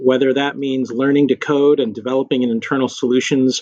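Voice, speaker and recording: A man with an American accent has a normal speaking voice at medium pitch. His fairly quick speech sounds dry and close, with no echo. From West Texas (Lubbock). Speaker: corporate general counsel. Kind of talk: interview.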